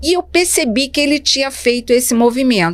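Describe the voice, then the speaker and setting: A woman speaks at a moderate pace. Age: 60s. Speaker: speech therapist and educator. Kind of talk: interview storytelling. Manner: halting.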